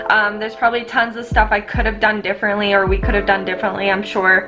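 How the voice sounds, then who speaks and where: Over music in the background, a woman speaks in a Canadian accent. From Canada. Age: 20s. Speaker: homesteading vlogger. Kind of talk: casual vlog talk to camera.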